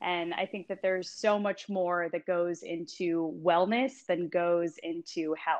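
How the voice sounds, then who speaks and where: A woman with a plain, everyday voice speaks fairly slowly with hardly any pauses. Her pitch is fairly low and her intonation fairly even. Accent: American. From California. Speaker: wellness coach and yoga teacher. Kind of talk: casual interview.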